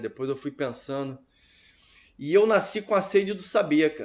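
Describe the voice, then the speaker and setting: A plain, everyday voice speaks at a moderate pace with lively intonation. The recording is very clean, with a silent background. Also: man. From Rio de Janeiro north zone, Brazil. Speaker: filmmaker. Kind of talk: interview testimony.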